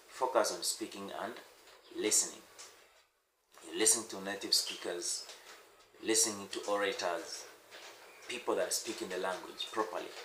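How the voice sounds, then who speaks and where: A man with an East African accent at a moderate pace, with long, frequent pauses and audible room echo. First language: Swahili. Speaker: language teacher. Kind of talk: tutorial. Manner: halting.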